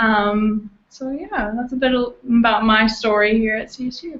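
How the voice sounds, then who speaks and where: In an American accent, a woman speaks at a fairly high pitch in a plain, everyday voice. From Colorado, US. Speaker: university student. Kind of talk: casual panel talk. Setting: live video hangout.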